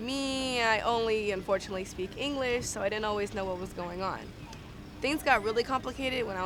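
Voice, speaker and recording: Pitch varies in an ordinary way at a fairly quick pace. The speaker has a Californian accent. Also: woman. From Los Angeles, San Fernando Valley. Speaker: student. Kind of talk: personal testimony.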